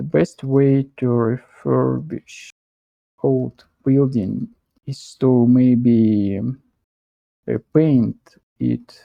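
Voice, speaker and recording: A man with a strong non-native accent, very slow and full of long, frequent pauses, in a dry, close sound with no echo. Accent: thick foreign. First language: not English; strongly rolled R. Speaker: English learner. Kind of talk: self-study practice talking aloud. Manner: halting, self-correcting.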